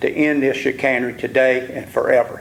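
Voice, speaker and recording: A man with an Alabama accent talks over noticeable background noise. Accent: US Southern (Alabama). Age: 70s. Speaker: local landowner speaking at public hearing. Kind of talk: public comment testimony. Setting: public hearing in a civic center. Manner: impassioned.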